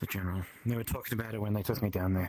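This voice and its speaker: A man puts on a character voice, raspy and fairly low, and speaks very fast. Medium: actual play. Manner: casual, hesitant.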